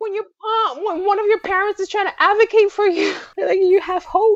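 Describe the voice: A woman's extremely high voice, fairly even in intonation, at a moderate pace, with a dry, close sound and no echo.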